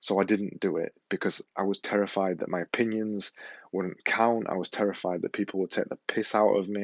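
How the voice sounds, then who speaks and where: A man speaks at a fairly quick pace with a Yorkshire accent. His pitch is fairly low, and his intonation stays fairly even. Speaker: podcaster and vlogger. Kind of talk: motivational talk to camera. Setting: filming to camera with ear mic.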